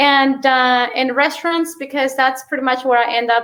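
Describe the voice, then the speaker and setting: Speaking at a fairly slow pace, a woman with a Mexican accent has a high pitch and a bright, sharp tone. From Mexico. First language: Spanish. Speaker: real estate investor. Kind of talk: interview. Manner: many fillers and hesitations.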